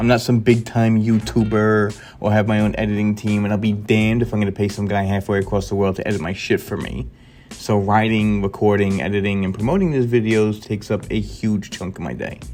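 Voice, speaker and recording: With a New York accent, a man talks at a fairly quick pace. His pitch sits fairly low. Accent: New York accent, noticeable. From New York, Queens. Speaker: gaming YouTuber. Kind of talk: scripted video commentary. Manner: animated.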